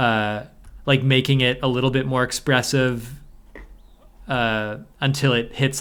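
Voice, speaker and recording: The man talks at a moderate pace, his intonation fairly even. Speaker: podcast co-host, hip hop maker. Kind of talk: casual chat. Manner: monotone.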